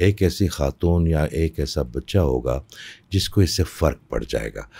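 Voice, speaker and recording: A man with a very deep, low pitch, vocal fry and a dark, mellow tone talks with ordinary pitch variation against a quiet background. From Pakistan, Peshawar; Pakistan. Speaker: spiritual healer; podcast guest. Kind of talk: interview. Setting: studio. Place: studio. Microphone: studio mic.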